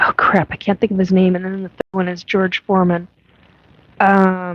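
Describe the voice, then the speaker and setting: Her delivery is monotone and flat, at a medium pitch and moderate pace. The woman is recorded with a dry, close sound and no echo. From US Pacific Northwest (Washington State). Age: 50s. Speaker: podcast host, self-described alien abductee. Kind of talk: live-stream chat reading viewer comments. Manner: casual, hesitant with many fillers.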